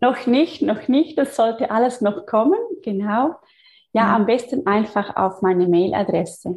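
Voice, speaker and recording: A woman speaks at a fairly slow pace in a somewhat breathy voice. Her intonation is lively and her loudness very even. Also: fairly high pitch for a woman. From Switzerland. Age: 30s. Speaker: physiotherapist and energy healer. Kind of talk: interview.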